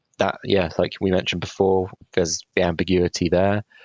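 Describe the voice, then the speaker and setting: A man with a British accent speaks at a fairly quick pace. His voice is very deep and low. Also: very even loudness, dry, close sound with no echo. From Britain. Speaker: podcast co-host. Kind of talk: casual chat.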